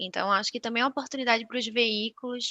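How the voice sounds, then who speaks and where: Against a quiet background, a woman with a Recife accent speaks in a bright, sharp tone with fairly even intonation, the sound dry and close with no echo. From Brazil, Recife (Northeast). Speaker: media research sales manager. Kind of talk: webinar presentation.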